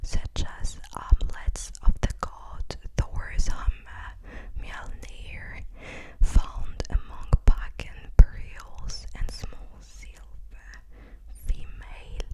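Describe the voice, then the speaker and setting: Whispering at a very slow pace, a woman's voice rises and falls sharply in loudness over noticeable background noise. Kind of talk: ASMR sleep reading. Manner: soft-spoken.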